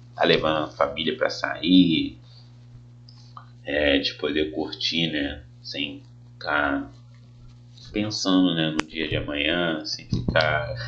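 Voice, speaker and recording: The pace is very slow. Pauses are long and frequent. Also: man, very deep, low pitch for a man, ordinary pitch variation. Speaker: teacher. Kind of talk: tutorial. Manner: casual.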